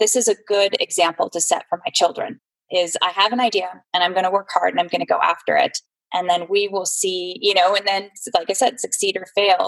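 This woman has a plain, everyday voice, medium pitch, fairly even intonation and a fairly quick pace, speaking with an American accent in a dry, close sound with no echo. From California, San Jose. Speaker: entrepreneur, fundraising business owner. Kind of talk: interview.

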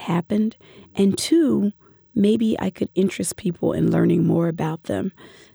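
A woman speaks with an American accent at a moderate pace. The sound is dry and close, with no echo. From US, Philadelphia. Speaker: professor. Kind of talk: interview.

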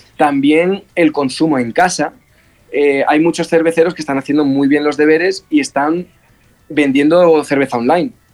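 Using a normal speaking voice, a man talks at a moderate pace with a fairly high pitch and fairly even intonation. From Spain (Almería) and England. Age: 20s. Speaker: brewer and bar owner. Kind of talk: interview.

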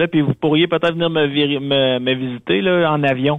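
A man speaks at a fairly quick pace in a fairly high pitch with ordinary pitch variation, a normal speaking voice. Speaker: radio contributor. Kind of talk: casual chat. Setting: phone call.

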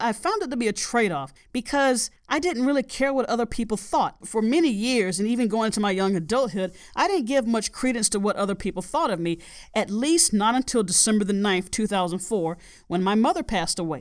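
A woman speaks at a fairly quick pace with lively intonation, fairly high pitch and very even loudness, on a very clean recording with a silent background. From US South. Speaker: podcast host, life coach. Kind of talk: solo podcast monologue, self-help talk.

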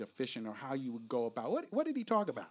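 A man speaks with a New York accent. His pitch swings very widely. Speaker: podcast host. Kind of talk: casual podcast discussion, book review.

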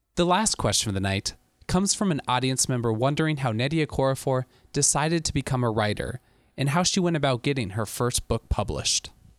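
Here is a man with a normal speaking voice at a medium pitch. His lively intonation comes through a dry, close sound with no echo. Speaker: podcast host. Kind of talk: scripted intro and outro narration.

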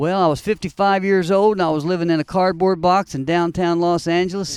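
A man with an American accent talks at a fairly quick pace in a high voice. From US Midwest (Evansville, Indiana). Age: 60s. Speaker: former musician, preacher in recovery. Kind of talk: testimony. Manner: animated.

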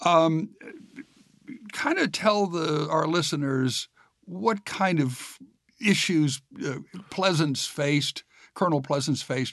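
Lively intonation runs through speech delivered at a very slow pace. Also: man. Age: 60s. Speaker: podcast host and interviewer. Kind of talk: interview, conversational.

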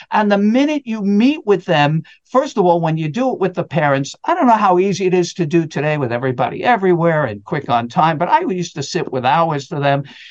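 A man's high voice at a fairly quick pace with very wide pitch swings, the sound dry and close with no echo. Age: 60s. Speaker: tax expert and speaker. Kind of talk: interview conversation.

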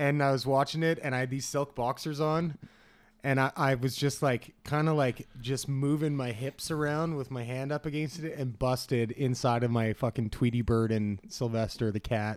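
Very clean recording, silent background, and a normal speaking voice. The pace is moderate and the intonation fairly even. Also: man, medium pitch for a man. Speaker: podcast host. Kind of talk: casual banter. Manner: crude, joking.

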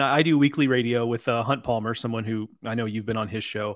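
A normal speaking voice with an American accent moves at a fairly quick pace against a quiet background. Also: man. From Texas. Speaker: podcast host. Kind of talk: casual interview.

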